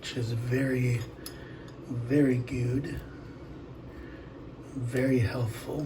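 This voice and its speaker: A soft-spoken man talks at a very slow pace and medium pitch in a monotone, flat intonation, with long, frequent pauses, audible room echo and noticeable background noise. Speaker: home cooking video host. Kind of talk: casual cooking tutorial.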